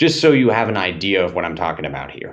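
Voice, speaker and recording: A man with a fairly low pitch speaks in an animated tone, his pitch swinging very widely. The background is quiet. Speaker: fitness coach. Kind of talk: motivational monologue. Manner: slightly slurred speech.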